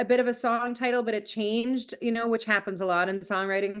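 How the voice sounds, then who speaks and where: A woman speaks at a fairly high pitch with an animated tone and ordinary pitch variation. The background is quiet. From Canada, British Columbia (Abbotsford). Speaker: country singer. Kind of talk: casual interview chat.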